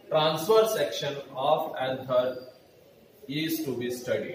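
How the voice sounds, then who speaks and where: A man speaks very slowly in a room with audible echo and noticeable background noise. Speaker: biology teacher. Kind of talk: lecture. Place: classroom. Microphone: camera far.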